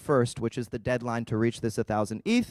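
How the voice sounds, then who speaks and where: On a very clean recording with a silent background, the sound is dry, close and echo-free. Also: man. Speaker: conference speaker presenting a rollup project. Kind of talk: conference talk. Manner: halting, with filler words.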